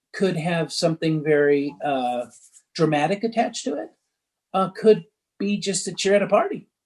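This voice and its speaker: A man talks at a high pitch with ordinary pitch variation. His speech has long, frequent pauses. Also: moderate pace. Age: 60s. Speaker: recovery coach. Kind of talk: interview.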